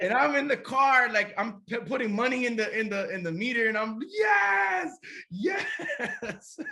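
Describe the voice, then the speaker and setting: A man with an American accent speaks at a fairly slow pace in an extremely high pitch. His raised, projected voice carries lively intonation. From USA. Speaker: pastor. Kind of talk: interview testimony. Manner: halting, many repetitions.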